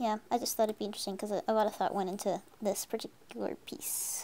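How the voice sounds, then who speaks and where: Whispering at a fairly quick pace, a woman shows big swings in loudness. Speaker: artist streamer. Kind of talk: casual live stream chat while drawing. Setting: live stream. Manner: casual with frequent fillers.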